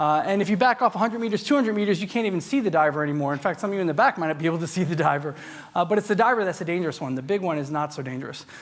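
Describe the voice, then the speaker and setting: A man with an American accent speaks very fast in a high voice. His intonation is lively. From US Northeast, New York. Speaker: tech industry speaker. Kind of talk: conference talk. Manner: loud.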